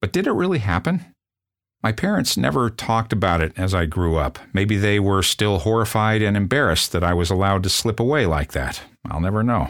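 A normal speaking voice with an American accent and lively intonation, kept at a very even loudness. The recording is very clean, with a silent background. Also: man, fairly low pitch for a man, fairly quick pace. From US Midwest, South Bend, Indiana. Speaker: podcast host and storyteller. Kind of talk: scripted narration.

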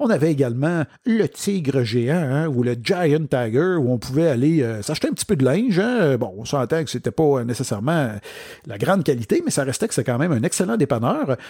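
In a Quebec accent, a man with a fairly high pitch and a dark, mellow tone speaks at a moderate pace with lively intonation. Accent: Québécois French. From Quebec, Outaouais (Papineauville). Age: 40s. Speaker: podcast host and business speaker. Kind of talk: solo podcast monologue.

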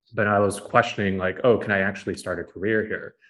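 A man with a Californian accent talks in a fairly low pitch with monotone, flat intonation against a quiet background. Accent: Californian American English. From US, San Francisco Bay Area. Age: 20s. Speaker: media company CEO. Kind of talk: casual interview. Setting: remote call.

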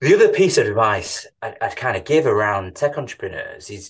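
A man with a Manchester accent speaks at a moderate pace against a quiet background. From Manchester, England. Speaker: tech company CEO. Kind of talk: interview conversation.

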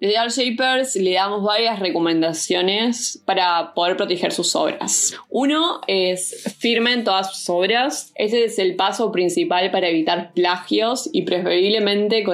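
Against noticeable background noise, a woman of medium pitch speaks at a fairly slow pace with lively intonation, very even loudness and hardly any pauses. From Uruguay. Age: 20s. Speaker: arts association founder and visual artist. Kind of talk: interview. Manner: hesitant fillers.

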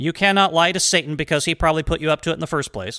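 In an American accent, a man talks at a very fast pace with a fairly high pitch, lively intonation, a bright, sharp tone and vocal fry, on a very clean recording with a silent background and a dry, close sound with no echo. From United States. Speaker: history podcast host. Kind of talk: solo podcast monologue. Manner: casual, freeform with fillers.

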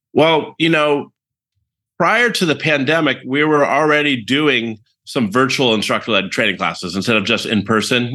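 A man's bright, sharp voice in a General American accent, with ordinary pitch variation and a quiet background. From US West Coast, San Francisco Bay Area. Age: 50s. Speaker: entrepreneur, training company CEO. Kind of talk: podcast interview.

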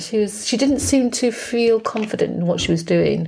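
This woman speaks with an English accent. Her pace is fairly quick. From England. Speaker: podcast co-host. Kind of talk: casual chat.

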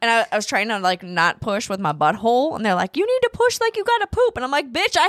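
A woman's loud, animated voice with a bright, sharp tone, very wide pitch swings, a very fast pace and hardly any pauses, in a dry, close sound with no echo. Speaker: podcast co-host, mother of the other host. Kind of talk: casual chat. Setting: studio.

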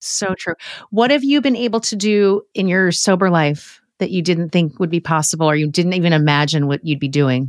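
Against a silent background, a woman speaks at a fairly low pitch with lively intonation and a moderate pace. The very clean recording has a dry, close sound with no echo. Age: 50s. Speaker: podcast host. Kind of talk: casual chat. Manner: animated.

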